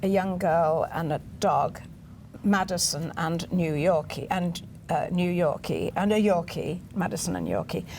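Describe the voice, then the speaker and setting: A woman with an English accent speaks at a fairly low pitch with vocal fry. Her intonation stays fairly even. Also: fairly slow pace. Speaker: literary agent. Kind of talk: interview.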